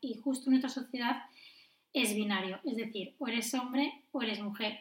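At a fairly quick pace, a woman with a high voice speaks using fairly even intonation. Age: 20s. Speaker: nurse and midwife. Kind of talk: casual chat.

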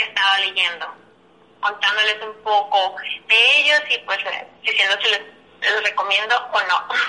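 With noticeable background noise behind her, a woman speaks at a fairly slow pace in a fairly high pitch with ordinary pitch variation and long, frequent pauses. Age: 20s. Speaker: advertising creative coordinator. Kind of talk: casual chat.

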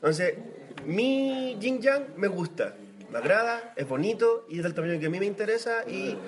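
A man with a Chilean accent speaks fairly slowly at a high pitch with lively intonation, against noticeable background noise. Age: 30s. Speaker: podcast co-host. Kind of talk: casual chat.

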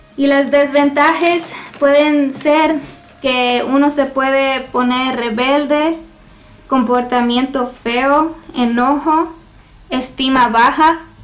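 High-pitched woman's voice at a very slow pace, monotone and flat, at very even loudness, with audible room echo and noticeable background noise. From US, Washington state (Lacey), Mexican parents. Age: young. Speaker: church receptionist, guest speaker. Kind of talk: testimony.

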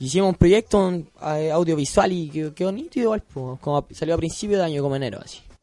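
Sounding dry and close with no echo, a man rushes along at a very fast pace with hardly any pauses, his high voice dark and mellow in tone, with ordinary pitch variation and big swings in loudness. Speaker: rapper. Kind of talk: radio interview. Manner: casual, slangy.

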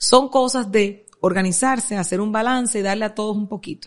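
This woman has an ordinary speaking voice. Her pitch is fairly high with ordinary variation, and she moves at a fairly quick pace. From Dominican Republic, Santo Domingo Oeste. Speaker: media entrepreneur. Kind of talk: interview.

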